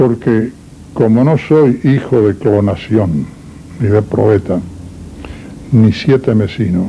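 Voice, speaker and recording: Over noticeable background noise, a man at medium pitch speaks very slowly with long, frequent pauses, very even loudness and ordinary pitch variation. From Uruguay, Salto. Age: 80s+. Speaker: interviewee, doctor. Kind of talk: interview. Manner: formal.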